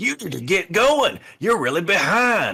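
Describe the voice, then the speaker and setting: Putting on a character voice, a man projects loudly at a high pitch and a moderate pace. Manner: barking, commanding.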